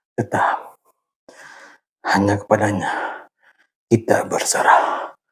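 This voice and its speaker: Speaking with an Acehnese accent, a man goes at a very slow pace. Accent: Acehnese accent, may sound harsh to outsiders. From Aceh, Indonesia. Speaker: YouTuber sharing workout routine. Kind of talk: casual vlog talk during exercise. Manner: halting, a bit stiff.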